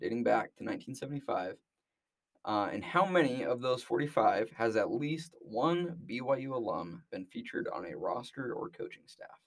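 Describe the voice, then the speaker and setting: A man speaks at a fairly slow pace. He has a Utah accent. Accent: American, Utah. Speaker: sports podcast co-host, student. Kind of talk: casual sports chat.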